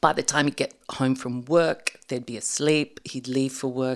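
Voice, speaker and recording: A woman with an Australian accent speaks in a very deep, low voice with monotone, flat intonation. The recording is very clean, with a silent background. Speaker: storyteller guest. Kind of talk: storytelling in casual interview.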